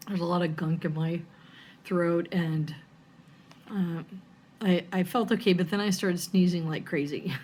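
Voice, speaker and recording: A woman speaks in a somewhat breathy voice. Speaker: cross stitch vlogger. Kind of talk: casual chat. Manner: hesitant, with fillers.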